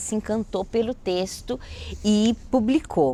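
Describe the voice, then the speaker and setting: Using a normal speaking voice, a woman talks at a medium pitch with ordinary pitch variation. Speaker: writer and educator. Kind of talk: interview storytelling.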